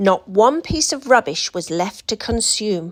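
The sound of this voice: Lively intonation from a woman at a medium pitch and a fairly slow pace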